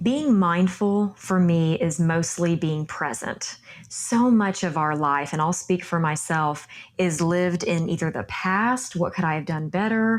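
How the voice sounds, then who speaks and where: At a fairly slow pace, a woman with a Texan accent speaks in a fairly low pitch with ordinary pitch variation. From Texas. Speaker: yoga instructor. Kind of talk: interview.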